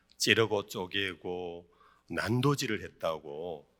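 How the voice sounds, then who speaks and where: With a strong Gyeongsang accent, a man speaks at a fairly low pitch and a very slow pace, his tone bright and sharp with lively intonation. The recording is very clean, with a silent background. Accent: thick Gyeongsang dialect. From South Korea, Daegu (Gyeongsang). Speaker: pastor. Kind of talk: sermon. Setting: church retreat, evening service with audience. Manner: many filler sounds (eo, e).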